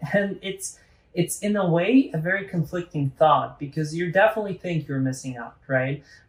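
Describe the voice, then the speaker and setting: Ordinary pitch variation shapes this man's speech. There is a somewhat breathy quality to his voice. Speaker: podcast host. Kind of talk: casual conversation.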